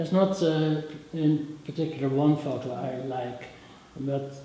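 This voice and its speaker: Speaking in a monotone with flat intonation and a Dutch accent, this voice carries audible room echo over light background noise. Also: man. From Netherlands. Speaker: rock photographer. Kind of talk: interview answer. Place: hall.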